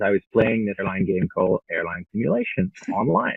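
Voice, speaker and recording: A man's fairly low voice at a fairly quick pace. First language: French. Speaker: travel agency founder. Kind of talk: interview.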